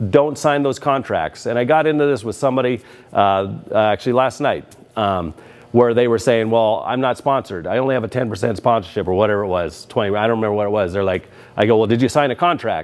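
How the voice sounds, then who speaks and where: Pitch variation stays ordinary here. The man talks at a very fast pace. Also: medium pitch for a man. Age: 60s. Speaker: RC track owner and video host. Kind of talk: opinion rant to camera. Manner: casual, many filler words.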